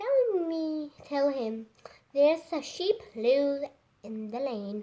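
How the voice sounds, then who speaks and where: A woman's put-on character voice, high-pitched and very slow, with very wide pitch swings and big swings in loudness. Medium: read story.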